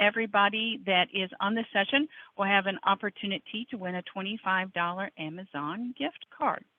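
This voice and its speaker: In a plain, everyday voice, a woman speaks at a medium pitch and a moderate pace. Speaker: software trainer. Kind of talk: webinar tutorial.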